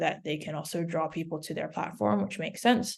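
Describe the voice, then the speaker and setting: A woman speaks with vocal fry at a fairly low pitch. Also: quiet background. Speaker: music data platform representative giving a demo. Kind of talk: software tutorial over video session. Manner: hesitant with many fillers.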